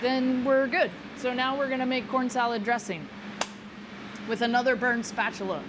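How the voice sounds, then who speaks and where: With an American accent, a woman speaks in a high pitch at a moderate pace with ordinary pitch variation and long, frequent pauses, over noticeable background noise and audible room echo. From Texas. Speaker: chef. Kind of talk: cooking demonstration. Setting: live event at a restaurant.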